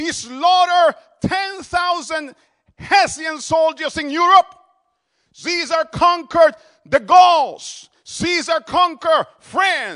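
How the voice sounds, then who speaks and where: In a Dominican accent, a man speaks at a very slow pace in a raised, projected voice of extremely high pitch, bright and sharp in tone, with ordinary pitch variation and a dry, close sound with no echo. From Dominican Republic. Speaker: visiting pastor. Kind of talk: sermon. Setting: church.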